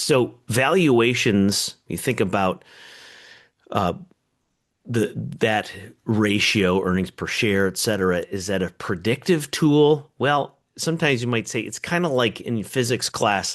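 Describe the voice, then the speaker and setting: An ordinary speaking voice from a man at medium pitch, fairly slow in pace, over a quiet background. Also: lively intonation. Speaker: economist. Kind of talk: webinar presentation.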